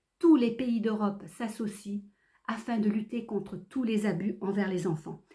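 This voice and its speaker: At a fairly slow pace, a woman speaks with a fairly high pitch, a somewhat breathy quality and a dark, mellow tone. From France (Creuse), born in Réunion. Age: 60s. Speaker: activist. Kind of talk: prepared statement. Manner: formal.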